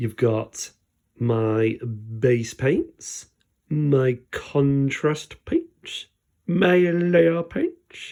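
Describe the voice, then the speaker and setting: A man speaks very slowly with a British accent, his pitch fairly high. His tone is dark and mellow, with ordinary pitch variation. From Britain. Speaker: miniature painting YouTuber. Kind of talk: unscripted casual tutorial commentary. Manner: hesitant, many fillers.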